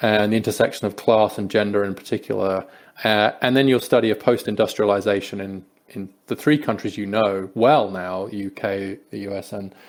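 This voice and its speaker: A man with an English accent, fairly low in pitch, at a moderate pace, fairly even in intonation but with big swings in loudness. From England, Peterborough. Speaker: podcast host. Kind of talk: interview conversation.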